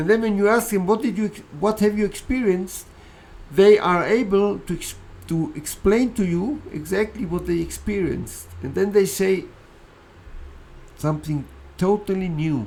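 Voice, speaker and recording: Moderate pace marked by long, frequent pauses, with audible room echo. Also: man, high pitch for a man, ordinary pitch variation. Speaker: philosophy speaker. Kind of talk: lecture.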